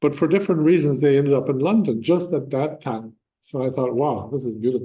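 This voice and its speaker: A man with a western Irish accent talks at a very fast pace, his fairly high-pitched voice dark and mellow in tone. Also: ordinary pitch variation. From Ireland, County Mayo. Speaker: church speaker sharing life testimony. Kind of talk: testimony talk with slides. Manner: conversational, with frequent fillers.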